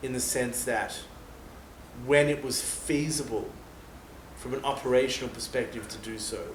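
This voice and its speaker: Recorded with audible room echo and noticeable background noise, a man speaks fairly slowly at a medium pitch with an Australian accent. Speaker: former soldier. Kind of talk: interview. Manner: casual.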